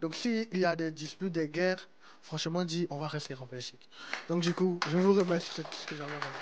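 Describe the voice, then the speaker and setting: Speaking at a fairly quick pace, a man with a high pitch keeps his intonation fairly even while his loudness swings widely, over noticeable background noise. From Ivory Coast (Grand-Bassam). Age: young. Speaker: community member. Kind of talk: new year wishes speech.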